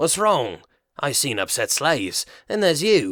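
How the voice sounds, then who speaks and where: A man puts on a raspy character voice at a fairly high pitch and a moderate pace, recorded very cleanly against a silent background. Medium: read story. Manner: friendly, casual.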